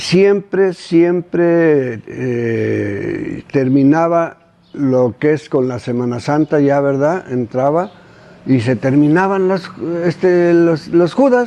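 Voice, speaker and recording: The pace is very slow. The intonation stays lively throughout. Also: man, fairly high pitch for a man. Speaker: elderly local resident. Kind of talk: interview recollection. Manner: halting.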